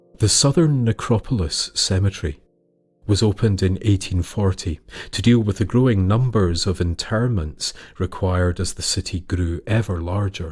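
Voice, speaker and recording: A man speaks in a fairly low, somewhat breathy voice with ordinary pitch variation. The recording is very clean, with a silent background. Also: moderate pace. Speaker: storyteller. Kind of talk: folklore storytelling narration.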